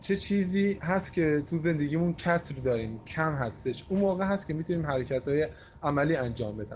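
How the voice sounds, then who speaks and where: Speaking at a fairly quick pace, this is a plain, everyday voice with lively intonation. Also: man, fairly high pitch for a man. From Iran. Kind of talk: recorded opinion voice message.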